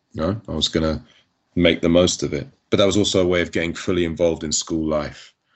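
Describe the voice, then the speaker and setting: A man's very deep, low voice in a London accent, very fast and flat in a monotone. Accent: southern English, educated London. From North London. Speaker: entertainment lawyer and rapper. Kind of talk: interview.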